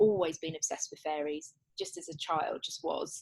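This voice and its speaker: Talking at a fairly quick pace, this woman has an English accent. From England. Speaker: children's author and wellbeing coach. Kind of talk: interview. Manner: halting, with frequent restarts.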